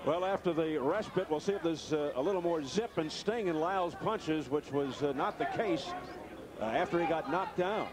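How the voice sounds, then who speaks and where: This man's high-pitched voice has an animated tone, ordinary pitch variation and very even loudness. The sound is dry with no echo, and background noise is noticeable. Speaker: boxing commentator. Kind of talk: live commentary. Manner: rapid, animated play-by-play call.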